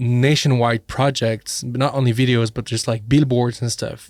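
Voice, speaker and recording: A man speaks at a medium pitch and a moderate pace, monotone and flat. The recording is very clean with a silent background. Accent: French. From French-speaking Switzerland. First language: French. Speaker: filmmaker, podcast co-host. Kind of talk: casual chat.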